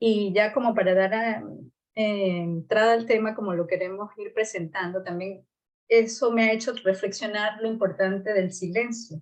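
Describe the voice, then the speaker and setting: Here is a woman with an ordinary speaking voice at medium pitch. She speaks at a moderate pace with fairly even intonation. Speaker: podcast co-host. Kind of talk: casual conversation.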